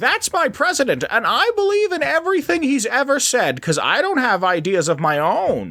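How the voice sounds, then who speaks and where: A high-pitched put-on character voice at a moderate pace with hardly any pauses. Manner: blindly devoted, mindless.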